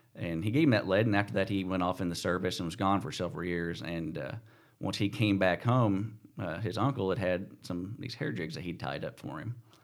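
Speaking with an American accent, a man uses a very deep, low pitch, a fairly quick pace and lively intonation. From Missouri, US. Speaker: tournament bass angler. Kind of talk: casual interview. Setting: studio.

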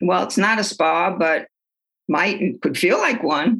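A woman with a New York accent speaks with ordinary pitch variation. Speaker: retired psychologist and author. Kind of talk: interview.

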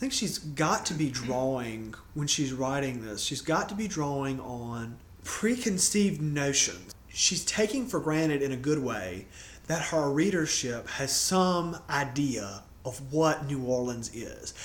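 In a room with audible echo, a man with a fairly high pitch talks at a fairly slow pace using lively intonation. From Louisiana. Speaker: podcast co-host. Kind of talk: casual chat.

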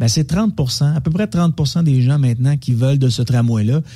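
A man talks in a dark, mellow, somewhat breathy voice with ordinary pitch variation. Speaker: media commentator. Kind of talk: casual radio chat.

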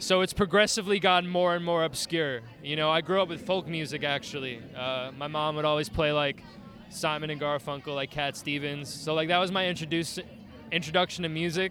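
With a New York accent, a man talks at a fairly quick pace, his fairly high pitch held in a fairly even intonation. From Staten Island, New York. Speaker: band musician, illustrator and art teacher. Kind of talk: casual interview. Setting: live event at a bar.

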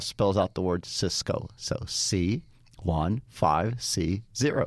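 Ordinary pitch variation marks a man's speech, captured on a very clean recording with a silent background. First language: not English. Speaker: network systems engineer. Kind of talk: casual interview. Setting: studio.

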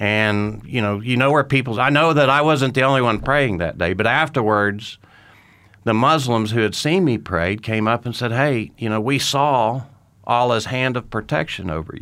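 An American-accented man with a bright, sharp tone and medium pitch talks at a moderate pace with ordinary pitch variation on a very clean recording with a silent background. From Oklahoma, Tulsa. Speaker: war veteran. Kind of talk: testimony.

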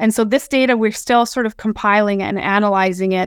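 A woman with a Canadian Prairies accent speaks at a fairly high pitch and a moderate pace, in a dry, close sound with no echo. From southern Alberta, Canada. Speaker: research scientist. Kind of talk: webinar presentation. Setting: webinar recording.

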